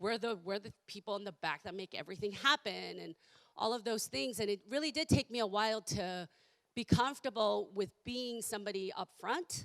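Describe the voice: A woman speaks at a fairly quick pace and a medium pitch, with ordinary pitch variation and a fairly bright tone. Her voice is croaky, with vocal fry.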